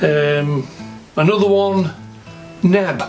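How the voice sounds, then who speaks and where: A man with a Sheffield accent talks in a high pitch and lively intonation. Music plays in the background. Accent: Yorkshire (Sheffield). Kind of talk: casual vlog talk to camera.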